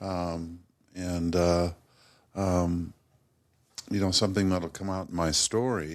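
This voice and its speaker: Fairly even in intonation, a man with an American accent speaks at a very deep, low pitch. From US West, Modesto, California. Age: 50s. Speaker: guest in recovery from addiction. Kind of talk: testimony. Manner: halting.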